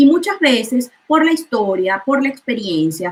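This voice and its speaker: A woman with a Venezuelan accent speaks in a high pitch, her voice swinging very widely up and down. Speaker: chemist and food coach. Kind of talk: interview.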